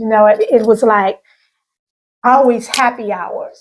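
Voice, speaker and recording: A woman's fairly high voice in a Southern US accent, at a fairly slow pace with fairly even intonation. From US South, Arkansas (Pine Bluff). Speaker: channel host, recovering alcoholic. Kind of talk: interview testimony.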